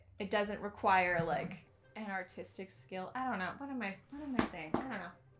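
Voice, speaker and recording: A woman's animated, lively voice at medium pitch and moderate pace, with music in the background. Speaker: crafting YouTuber. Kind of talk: casual vlog talk.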